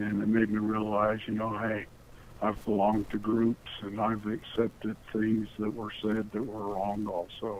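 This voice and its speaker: A man's fairly low-pitched voice at a fairly slow pace, with monotone, flat intonation. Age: 60s. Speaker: caller. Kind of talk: phone call.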